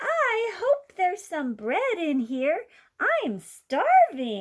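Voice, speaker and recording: Putting on a squeaky character voice, a woman talks very slowly at an extremely high pitch with very wide pitch swings. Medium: read story.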